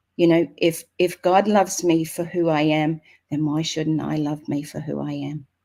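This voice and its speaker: With an Australian accent, a woman speaks in a very deep, low voice with a dark, mellow tone and flat, monotone intonation. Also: moderate pace, very clean recording, silent background. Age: 60s. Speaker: author and motivational speaker. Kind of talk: inspirational talk.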